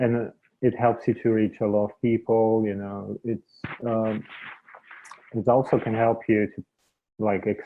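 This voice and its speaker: Monotone, flat intonation in a non-native accent, at a fairly slow pace with long, frequent pauses. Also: man, medium pitch for a man. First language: not English. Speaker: media entrepreneur. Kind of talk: interview conversation.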